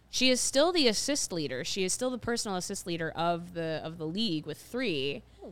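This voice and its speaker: Using an American accent, a woman speaks at a fairly quick pace with hardly any pauses, a fairly low pitch, very wide pitch swings and big swings in loudness. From Ohio. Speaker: sports podcast host. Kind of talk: casual chat.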